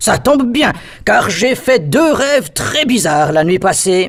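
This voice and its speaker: Cartoonish character voice with very wide pitch swings at a fairly slow pace. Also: man, extremely high pitch for a man. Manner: hesitant, with many "euh" fillers.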